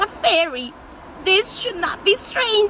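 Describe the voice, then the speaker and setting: Over clear background noise, a female-sounding voice pitched extremely high for a woman performs a put-on character voice. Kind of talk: mock-Shakespearean acting. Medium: stage play.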